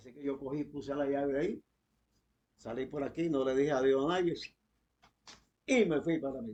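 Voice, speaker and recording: This man has a fairly high pitch and a dark, mellow tone, with ordinary pitch variation. He talks at a moderate pace with long, frequent pauses. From eastern Cuba (Santiago de Cuba area). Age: 80s+. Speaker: former political prisoner. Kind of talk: testimony. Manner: halting.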